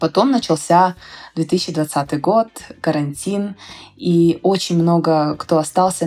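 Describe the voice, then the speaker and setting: The speaker has an unremarkable speaking voice and fairly even intonation. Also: woman. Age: 20s. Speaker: startup founder. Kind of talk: interview.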